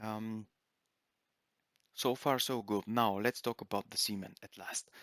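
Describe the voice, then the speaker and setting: In a dry, close sound with no echo and a very clean recording with a silent background, a man speaks slowly with a fairly low pitch and monotone, flat intonation. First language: not English. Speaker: gaming video creator. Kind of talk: gameplay commentary. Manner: halting, many fillers.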